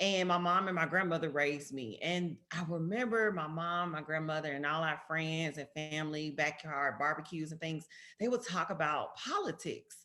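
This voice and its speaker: A woman with a strong Southern US accent, very deep and low in pitch yet bright and sharp in tone, at a moderate pace with ordinary pitch variation and hardly any pauses. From US South, Memphis, Tennessee. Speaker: politician. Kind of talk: talk to students. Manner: casual, conversational.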